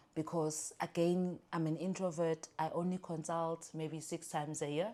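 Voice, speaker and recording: A dark, mellow tone delivered in a flat monotone at a moderate pace. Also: woman, fairly low pitch for a woman. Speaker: lawyer and business owner. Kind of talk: podcast interview.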